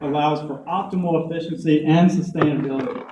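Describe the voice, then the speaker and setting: Keeping a moderate pace, a man talks with a Southern US accent. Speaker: conference speaker. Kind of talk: presentation talk. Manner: hesitant fillers.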